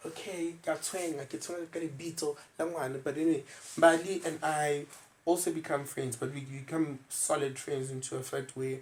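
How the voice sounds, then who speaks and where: A man with a South African accent talks at a moderate pace, somewhat breathy, at a fairly high pitch and in a monotone, flat intonation. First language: isiZulu. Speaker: podcast host. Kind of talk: casual chat.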